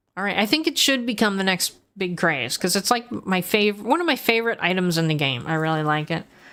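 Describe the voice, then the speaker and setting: Loud and animated, a woman speaks at medium pitch and a fairly quick pace with very wide pitch swings, hardly any pauses and a bright, sharp tone. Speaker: gaming streamer. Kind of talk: casual livestream gameplay chat.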